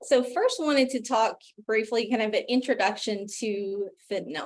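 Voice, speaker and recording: The speaker is a woman. She talks with an Appalachian accent. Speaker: physician pharmacist, health policy director. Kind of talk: virtual forum presentation. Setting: video call.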